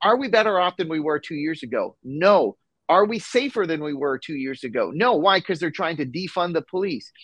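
A man's high-pitched voice with lively intonation at a fairly quick pace, dry and close with no echo, over a quiet background. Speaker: congressional candidate. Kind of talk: interview.

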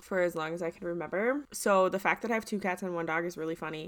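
Over a very clean, silent background, a woman speaks at a medium pitch with a bright, sharp tone and ordinary pitch variation. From US Midwest. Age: 20s. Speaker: podcast co-host. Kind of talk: casual chat.

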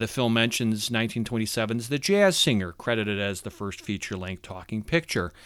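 On a very clean recording with a silent background, a man with a plain, everyday voice speaks at a moderate pace, with medium pitch and ordinary pitch variation. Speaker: podcast host. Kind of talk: interview.

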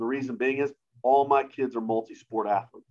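An unremarkable speaking voice with an American accent, fairly even intonation and a moderate pace. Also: man. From US South, mostly Georgia (military family). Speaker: high school strength coach. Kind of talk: casual interview.

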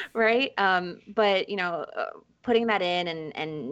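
A woman with a New York accent, at a moderate pace. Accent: New York American English. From New York, raised from age five (born in Ecuador). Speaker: author. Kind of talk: interview conversation.

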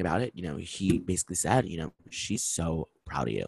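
A man speaks at a fairly quick pace with an animated tone and vocal fry. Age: 20s. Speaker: podcast host. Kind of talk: casual solo monologue.

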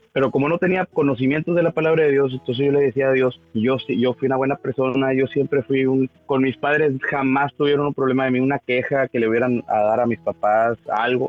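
A man speaks at a fairly quick pace with hardly any pauses. His intonation is fairly even and his loudness very even. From Mexico, northern Tamaulipas. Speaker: church member giving testimony. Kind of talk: testimony. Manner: halting, many repetitions.

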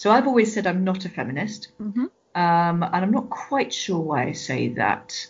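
A woman with a British accent speaks at a medium pitch. Her pace is moderate and her pitch variation ordinary. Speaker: Baptist minister and Bible scholar. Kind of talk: interview.

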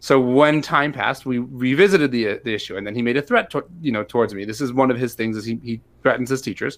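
A man with an American accent at a medium pitch, speaking very fast with hardly any pauses and ordinary pitch variation. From US Midwest, St. Louis, Missouri. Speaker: rabbi and special education teacher. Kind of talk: interview conversation.

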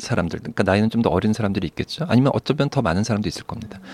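A man's fairly low voice with lively intonation, in a dry, close sound with no echo. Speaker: psychiatrist. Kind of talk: advice podcast chat.

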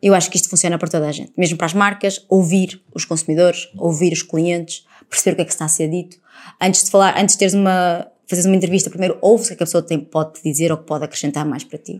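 A woman's energetic, animated, very fast speech, fairly low in pitch, with big swings in loudness. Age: 30s. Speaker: TV reporter and presenter. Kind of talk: casual interview chat.

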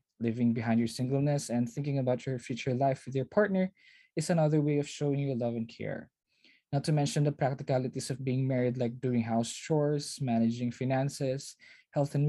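The speech comes at a fairly quick pace with a Filipino accent. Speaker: podcast host. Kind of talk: scripted intro and outro.

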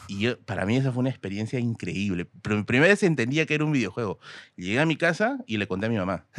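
A man speaks at a very fast pace with lively intonation and a medium pitch. The recording is very clean and dry, close and echo-free, with a silent background. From Peru, Tacna. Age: 30s. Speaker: history content creator. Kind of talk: casual chat.

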